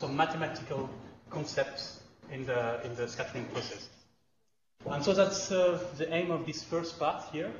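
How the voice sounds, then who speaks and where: Through audible room echo and noticeable background noise, a man speaks at a moderate pace and a fairly high pitch. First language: not English. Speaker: lecturer. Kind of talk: lecture. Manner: halting, many fillers and restarts.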